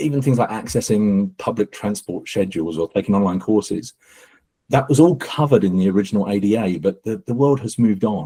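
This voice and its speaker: A man with an English accent talks at a fairly quick pace, his fairly low pitch showing ordinary pitch variation. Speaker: accessibility company co-founder. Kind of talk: panel webinar discussion. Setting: live webinar.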